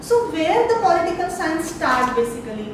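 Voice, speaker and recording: Over noticeable background noise and strong room echo, a woman with an extremely high pitch talks at a moderate pace. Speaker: lecturer. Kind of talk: lecture. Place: classroom. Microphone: camera far.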